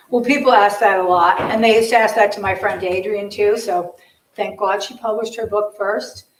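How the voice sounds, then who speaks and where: Audible room echo surrounds a woman with an American accent, fairly high pitch and fairly even intonation. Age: 60s. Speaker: documentary photographer. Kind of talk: audience Q&A at artist talk. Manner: halting.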